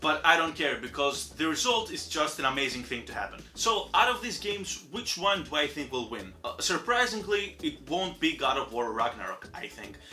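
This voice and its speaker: A man with a non-native accent talks in an animated tone at high pitch, with very wide pitch swings and hardly any pauses. His pace is moderate, and music plays in the background. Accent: non-native English, noticeable. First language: Greek. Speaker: gaming youtuber. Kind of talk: casual commentary monologue.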